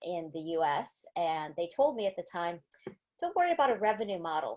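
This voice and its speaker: A woman with an American accent has a plain, everyday voice at a fairly low pitch. She talks at a fairly quick pace against a quiet background. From US, small town. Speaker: angel investor. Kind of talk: panel discussion.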